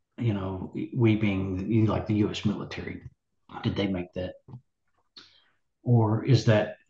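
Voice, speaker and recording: A man with a Southern US accent, fairly low-pitched and somewhat breathy, with a dark, mellow tone, monotone, flat intonation, a fairly slow pace and long, frequent pauses. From US South, Nashville, Tennessee. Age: 60s. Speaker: musician. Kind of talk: interview. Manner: halting.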